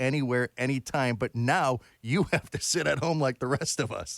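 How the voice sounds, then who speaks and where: In a normal speaking voice, someone talks at a moderate pace with ordinary pitch variation, recorded very cleanly against a silent background with a dry, close sound and no echo. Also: man. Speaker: interviewer. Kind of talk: interview question.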